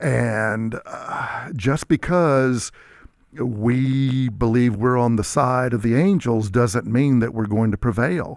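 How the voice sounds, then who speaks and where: A man with an American accent talks at a very slow pace and a medium pitch, with ordinary pitch variation. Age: 60s. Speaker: historian. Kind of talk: talk radio discussion.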